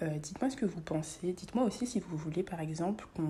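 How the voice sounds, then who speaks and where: The woman's voice is fairly low and somewhat breathy. Its tone is dark and mellow. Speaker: illustrator and content creator. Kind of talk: casual voice-over chat while drawing. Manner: relaxed, many hesitations.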